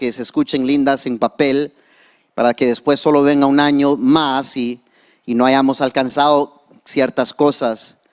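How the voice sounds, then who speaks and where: A fairly high-pitched man with an English accent, at a fairly slow pace, on a very clean recording with a silent background. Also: dry, close sound with no echo. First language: English (speaking Spanish). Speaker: pastor. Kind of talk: sermon. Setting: church. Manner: halting, code-switching.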